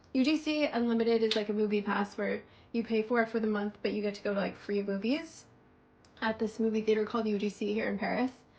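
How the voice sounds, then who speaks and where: This woman's voice is fairly high and somewhat breathy. Her intonation stays fairly even. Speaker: beauty vlogger. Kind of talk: casual chat.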